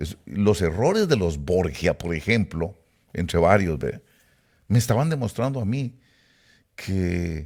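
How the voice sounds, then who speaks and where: At a fairly slow pace, a man with a very deep, low pitch talks with lively intonation. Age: 70s. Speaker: preacher. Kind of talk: sermon-style talk to online audience. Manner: hesitant with fillers.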